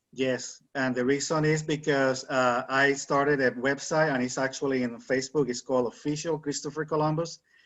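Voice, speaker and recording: Fairly quick and fairly high-pitched, a man talks with a Spanish accent and monotone, flat intonation. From Puerto Rico. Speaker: author. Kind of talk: interview.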